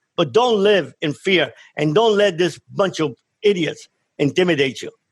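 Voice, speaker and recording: Speaking at a moderate pace with a Miami accent, a man uses a high voice and lively intonation. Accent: Cuban-American Miami. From Cuba, raised in Miami from age ten. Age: 60s. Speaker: former drug trafficker turned speaker. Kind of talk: radio interview. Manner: impassioned.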